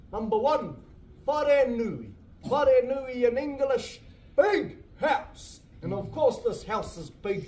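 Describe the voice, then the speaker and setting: With audible room echo, a man speaks very slowly in a dark, mellow tone and lively intonation. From New Zealand, Māori community in Te Urewera. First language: Māori. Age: young. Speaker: cultural tour guide. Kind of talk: guided tour talk. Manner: stutters at times.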